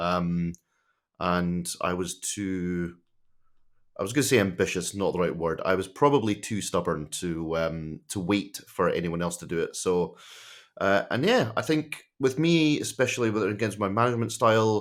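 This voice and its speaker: Speaking at a moderate pace with a Scottish accent, a man has a fairly low pitch in a very clean recording with a silent background. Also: lively intonation. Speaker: tech executive. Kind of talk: podcast interview.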